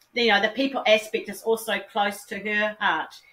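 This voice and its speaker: With a New Zealand accent, a woman speaks in a fairly high pitch with ordinary pitch variation. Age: 50s. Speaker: philanthropist. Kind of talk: interview.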